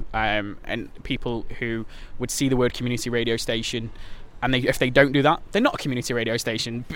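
Here a man talks at a medium pitch. His pace is fairly quick. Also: fairly even intonation. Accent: Potteries. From Stoke-on-Trent, Staffordshire, England. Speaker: theatre company director and community radio director. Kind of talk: casual interview. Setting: in person in Hanley.

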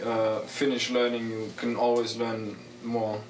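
Speaking very slowly at a medium pitch, a man talks over noticeable background noise. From Germany. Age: 20s. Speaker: missionary trainee. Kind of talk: interview. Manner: hesitant, many fillers.

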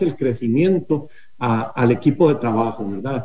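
Speaking at a moderate pace, a man uses a dark, mellow tone that is somewhat breathy, with ordinary pitch variation. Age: 50s. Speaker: company executive. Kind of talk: radio interview. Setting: remote connection.

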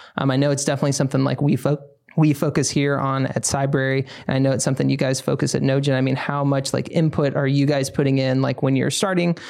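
Against noticeable background noise, a man talks very fast in a fairly high voice, with flat, monotone intonation and very even loudness. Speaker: podcast host. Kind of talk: casual chat. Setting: studio.

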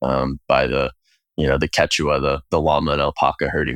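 On a very clean recording with a silent background and a dry, close sound with no echo, a man with an American accent and vocal fry speaks at a moderate pace. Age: 30s. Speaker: food company co-founder. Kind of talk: interview conversation.

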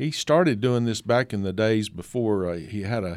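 A man with an Appalachian accent is heard on a very clean recording with a silent background. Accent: Appalachian Southern US. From East Tennessee (Kingsport). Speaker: photographer and author. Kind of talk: radio interview.

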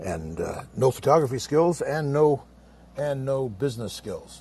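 A man's voice, somewhat breathy. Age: 70s. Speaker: veteran photographer and former college teacher. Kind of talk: personal story in group discussion. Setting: live audio app room.

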